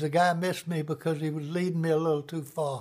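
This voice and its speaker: A man's high-pitched voice with fairly even intonation and an American accent. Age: 90s. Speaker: war veteran. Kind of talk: testimony. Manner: halting.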